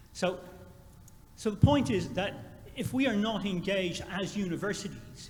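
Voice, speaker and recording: Here is a man with an Irish accent. Audible room echo and noticeable background noise are present. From Ireland. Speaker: university administrator. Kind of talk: conference Q&A comment.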